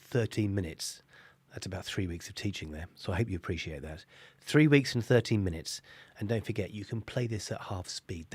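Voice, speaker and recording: A man's raspy, put-on character voice, fairly low in pitch, at a fairly quick pace. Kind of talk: lecturing, teaching. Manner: speaking very quickly.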